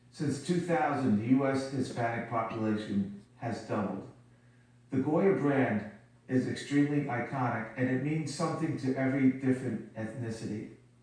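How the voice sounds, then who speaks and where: Moderate-paced speech from a man amid noticeable background noise and audible room echo. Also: medium pitch for a man, ordinary pitch variation. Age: 60s. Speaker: company CEO. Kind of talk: TV interview.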